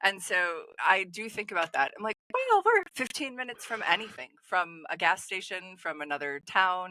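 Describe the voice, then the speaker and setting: A woman with a slight Wisconsin accent speaks with hardly any pauses. Her tone is bright and sharp, and her intonation lively. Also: medium pitch for a woman, moderate pace. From Wisconsin, Appleton. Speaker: festival organizer. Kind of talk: casual chat.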